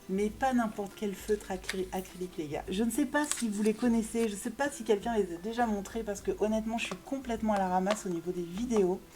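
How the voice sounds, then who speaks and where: A woman speaks fairly quickly in an animated tone, with hardly any pauses. Her pitch is fairly high with ordinary variation, over noticeable background noise. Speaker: YouTuber reviewing art supplies. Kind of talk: product haul video. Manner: fast; animated, lots of hesitation fillers.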